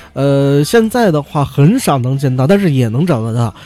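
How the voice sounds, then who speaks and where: A man's fairly high voice swings very widely in pitch against noticeable background noise. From Beijing. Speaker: podcast host. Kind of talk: casual news commentary monologue. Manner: frequent fillers and hesitations.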